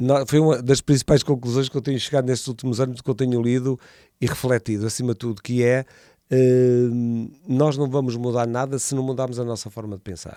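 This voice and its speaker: A man with a European Portuguese accent speaks at a fairly quick pace in a dark, mellow tone with fairly even intonation. The recording is very clean, with a silent background and a dry, close sound with no echo. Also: medium pitch for a man. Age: 60s. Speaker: entrepreneur. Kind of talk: podcast interview. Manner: halting, many repetitions.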